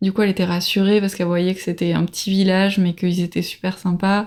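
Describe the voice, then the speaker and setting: This clip features a female speaker. The audio is spotless, with total silence behind her. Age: 30s. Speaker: traveler. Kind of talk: casual chat. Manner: halting.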